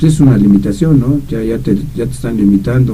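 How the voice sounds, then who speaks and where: A man's dark, mellow voice with vocal fry, very wide pitch swings and a fairly quick pace, plus audible room echo. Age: 70s. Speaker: radio commentator. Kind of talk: casual chat. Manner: halting, many repetitions.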